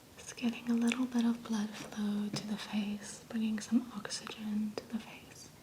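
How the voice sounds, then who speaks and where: Against noticeable background noise, a woman speaks in a calm tone at a fairly high pitch, with hardly any pauses and big swings in loudness. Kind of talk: soft-spoken ASMR massage narration. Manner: soft-spoken, calm, slow.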